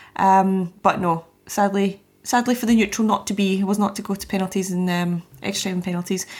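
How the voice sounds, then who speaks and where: A woman's somewhat breathy, medium-pitched voice in a Scottish accent, fairly quick and flat in intonation. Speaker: football podcast panelist, producer. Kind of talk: casual chat.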